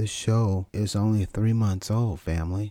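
An ordinary speaking voice from a man, fairly low in pitch and fairly slow in pace, on a very clean recording with a silent background. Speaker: podcast host and coach. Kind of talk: solo motivational monologue.

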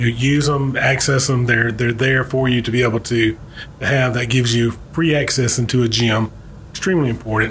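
Over noticeable background noise, a man at medium pitch with a Southern US accent speaks with fairly even intonation and very even loudness. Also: fairly quick pace. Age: 40s. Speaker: insurance agent and podcast co-host. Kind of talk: casual interview.

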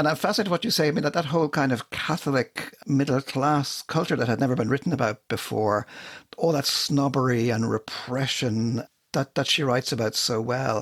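Speaking at a fairly quick pace with an Irish accent, a man has a fairly high pitch, ordinary pitch variation, very even loudness and a dry, close sound with no echo. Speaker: podcast co-host. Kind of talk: casual chat.

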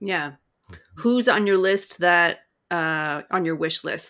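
A plain, everyday voice with an American accent carries ordinary pitch variation. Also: woman. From Western Wisconsin, La Crosse. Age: 30s. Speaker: podcast host. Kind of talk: interview hosting.

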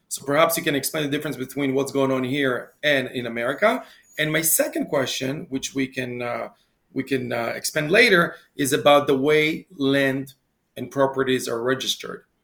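An unremarkable speaking voice from a man, fairly high-pitched, with fairly even intonation at a moderate pace. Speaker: podcast host. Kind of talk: interview.

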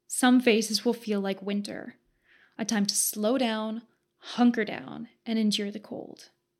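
A woman speaks fairly slowly at a fairly high pitch with fairly even intonation and big swings in loudness. The recording is very clean with a silent background. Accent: Western Canadian. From Southern Alberta, Canada. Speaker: podcast host. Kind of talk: scripted narration.

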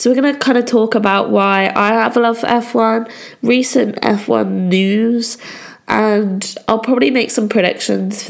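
A woman with a fairly high pitch keeps her intonation fairly even while noticeable background noise is present. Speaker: podcast host. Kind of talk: casual solo podcast talk.

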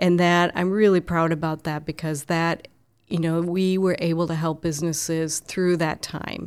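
In a very clean recording with a silent background, a woman with an American accent speaks at a moderate pace in a fairly low pitch with monotone, flat intonation. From Minnesota, Twin Cities lake area. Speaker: chamber of commerce president. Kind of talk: interview conversation. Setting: office.

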